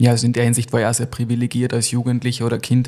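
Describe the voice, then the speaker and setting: This man has a dark, mellow tone, a medium pitch and a somewhat breathy voice. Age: 30s. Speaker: podcast host. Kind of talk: casual chat; scripted storytelling narration.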